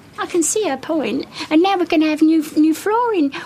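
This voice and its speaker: A woman speaks with lively intonation. Noticeable background noise is audible. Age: 80s+. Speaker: charity shop volunteer. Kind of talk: heated discussion.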